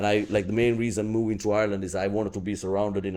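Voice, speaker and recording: A man speaks very fast with a non-native accent and monotone, flat intonation. His fairly low voice has a dark, mellow tone. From Sri Lanka. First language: not English. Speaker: comedian. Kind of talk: podcast interview before live audience. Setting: live podcast with crowd. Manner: halting, many fillers.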